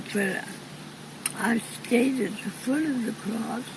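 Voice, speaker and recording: Very slow speech from a woman, fairly high in pitch with ordinary variation, over noticeable background noise. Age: 80s+. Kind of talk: interview answer.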